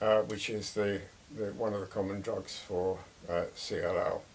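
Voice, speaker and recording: A man with an English accent speaks over noticeable background noise. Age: 80s+. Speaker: retired man sharing illness experience. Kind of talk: casual monologue. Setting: by a fireside. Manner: hesitant, many fillers.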